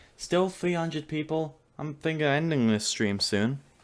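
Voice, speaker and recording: A man with a British accent speaks at a moderate pace, his pitch varying in an ordinary way. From UK. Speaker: streamer. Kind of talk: casual livestream chat. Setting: livestream.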